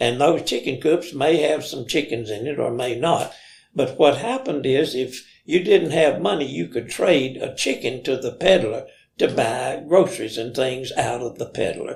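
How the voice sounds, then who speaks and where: A man's somewhat breathy, fairly high voice with an American accent, moderate pace and ordinary pitch variation. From Limestone County, Alabama. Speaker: storyteller. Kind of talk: interview answer, reminiscing story.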